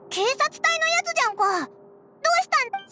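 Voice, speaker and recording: Extremely high-pitched, put-on character voice. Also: moderate pace. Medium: video game. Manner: casual, boyish speech.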